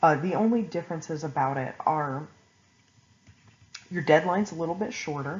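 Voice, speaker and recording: A somewhat breathy woman talks at a moderate pace with ordinary pitch variation and long, frequent pauses. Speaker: online college instructor. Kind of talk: recorded class lecture. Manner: casual, with fillers.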